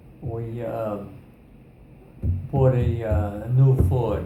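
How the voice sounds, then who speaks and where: This is a man speaking. His pace is very slow. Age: 80s+. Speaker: military veteran. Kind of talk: interview answer. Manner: hesitant, conversational.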